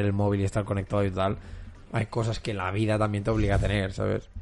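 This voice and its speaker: At a very fast pace, a man speaks in a fairly low, monotone voice with flat intonation. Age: 20s. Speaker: podcast host. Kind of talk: casual chat.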